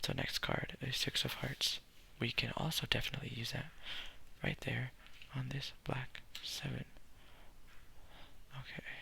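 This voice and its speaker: Whispering at a moderate pace in a relaxed tone, the speaker leaves long, frequent pauses while noticeable background noise sits underneath. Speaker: ASMR content creator. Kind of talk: ASMR solitaire gameplay, soft-spoken explanation to camera. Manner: soft-spoken, relaxed.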